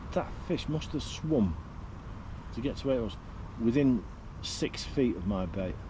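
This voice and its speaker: In a Manchester accent and a dark, mellow tone with vocal fry, a man speaks at a fairly slow pace in a medium pitch, with very wide pitch swings, long, frequent pauses and audible room echo. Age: 50s. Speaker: angler livestreamer. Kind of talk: casual livestream talk. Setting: outdoors. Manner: casual.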